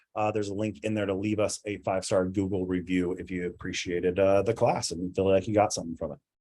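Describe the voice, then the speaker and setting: A man is speaking. His pace is very fast. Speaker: landlord education class instructor. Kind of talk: online class lecture with Q&A. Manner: halting, many filler words.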